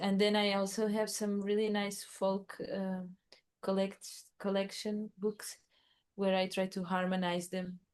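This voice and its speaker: A woman with a Portuguese accent talks at a fairly slow pace. Her medium-pitched delivery is flat and monotone. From Portugal. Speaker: musician and artist. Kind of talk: casual interview chat. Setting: remote call.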